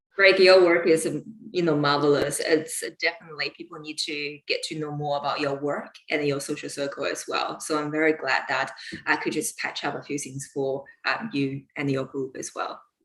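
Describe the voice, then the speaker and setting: In a Chinese accent, a woman speaks at a moderate pace with fairly even intonation and a very deep, low pitch. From China. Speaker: lawyer and UFO researcher. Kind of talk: interview on live stream.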